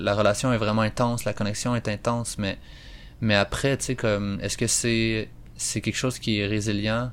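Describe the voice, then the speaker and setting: A man speaks at a moderate pace with a Quebec accent. His fairly low voice stays monotone and flat. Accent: Québécois French. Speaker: podcast host. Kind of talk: solo educational monologue. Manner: hesitant, many fillers.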